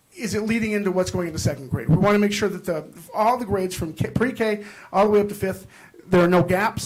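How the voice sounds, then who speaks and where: There is noticeable background noise. The talking goes at a fairly quick pace. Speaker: school principal. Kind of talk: presentation to school board. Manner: fast; hesitant, many fillers.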